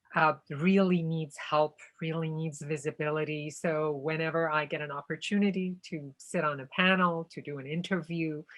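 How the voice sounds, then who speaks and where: Speaking at a moderate pace with hardly any pauses, a woman uses a very deep, low pitch and monotone, flat intonation. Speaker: actor and activist. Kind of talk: panel Q&A.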